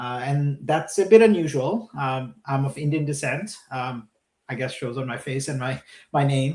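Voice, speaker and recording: This man's voice is somewhat breathy and fairly high in pitch. He talks at a moderate pace with ordinary pitch variation. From Brazil (Vitória, then Brasília). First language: Portuguese. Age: 40s. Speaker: venture capital investor. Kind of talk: interview. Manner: hesitant, frequent fillers.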